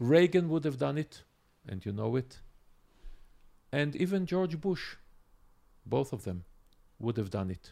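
A man speaks at a medium pitch with a dark, mellow tone and vocal fry. His pace is fairly slow, with big pitch swings and long, frequent pauses.

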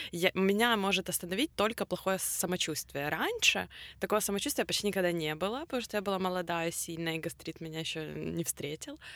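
At a fairly quick pace, a woman with a normal speaking voice talks at a medium pitch with ordinary pitch variation. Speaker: podcast co-host. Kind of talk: casual chat.

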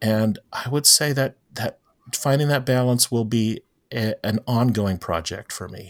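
A man with an American accent and an ordinary speaking voice talks at a fairly slow pace and medium pitch with ordinary pitch variation, in a very clean, dry, close recording with a silent background and no echo. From Florida (St. Petersburg), Filipino immigrant parents. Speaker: pastor. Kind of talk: interview conversation.

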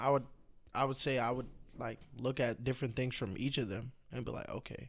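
With an American accent, a man talks at a moderate pace in a medium pitch with fairly even intonation, an ordinary speaking voice. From Boston. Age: 20s. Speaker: DJ and former social media comedian. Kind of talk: casual chat.

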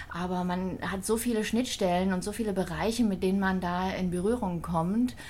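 Audible room echo carries speech at a moderate pace with hardly any pauses. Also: woman, medium pitch for a woman. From Thüringen, eastern Germany. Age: 40s. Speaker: hospital social services manager. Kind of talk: casual interview.

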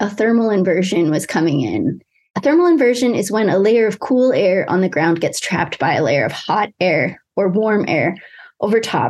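Her pitch swings very widely, while her loudness stays very even. The woman speaks with an American accent. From western Pennsylvania. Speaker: environmental toxicologist. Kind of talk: interview.

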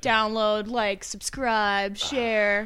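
A female-sounding, fairly high put-on character voice delivers lines in a monotone, flat intonation on a very clean recording with a silent background.

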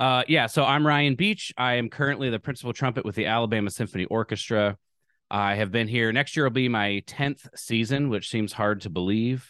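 An ordinary speaking voice with an American accent moves at a fairly quick pace, with ordinary pitch variation, over a quiet background and a dry, close sound with no echo. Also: man, medium pitch for a man. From US Midwest (Lincoln, Nebraska). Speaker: orchestral trumpeter and powerlifter. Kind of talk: casual interview.

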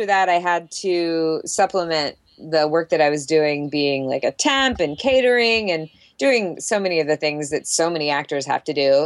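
A normal speaking voice with lively intonation and a moderate pace on a very clean recording with a silent background. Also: woman, fairly low pitch for a woman. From US South, Jacksonville, Florida. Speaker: actress. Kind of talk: casual interview.

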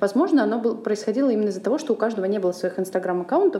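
A woman speaks at medium pitch with ordinary pitch variation. Noticeable background noise runs underneath. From Russia, Saint Petersburg. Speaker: podcast host, charity program coordinator. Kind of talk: casual chat.

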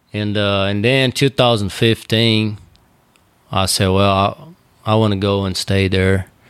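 With a Brazilian accent, a man speaks at a fairly slow pace and fairly low pitch, his intonation fairly even. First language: Portuguese. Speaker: bullfighter. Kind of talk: casual interview chat. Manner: hesitant, filler-heavy.

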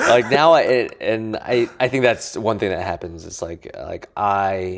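In a very clean recording with a silent background, a man with an American accent uses a normal speaking voice at a moderate pace with ordinary pitch variation. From Colorado, US. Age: 20s. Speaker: entrepreneur, co-founder of a company. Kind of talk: casual interview conversation. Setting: co-working space office.

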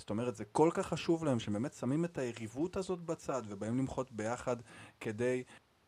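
A man speaks at a moderate pace in an unremarkable speaking voice, his medium pitch carried by lively intonation. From Israel, Arad. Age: 30s. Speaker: podcast host. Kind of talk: casual chat.

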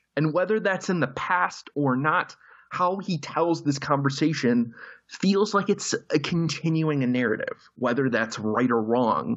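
The speech moves at a fairly slow pace with lively intonation and very even loudness. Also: man, fairly high pitch for a man. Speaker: film critic. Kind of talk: casual roundtable discussion. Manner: halting, many false starts.

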